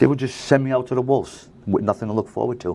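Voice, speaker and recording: Here a man talks at a fairly quick pace. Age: 60s. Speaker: recovery house manager, person in recovery. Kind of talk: interview.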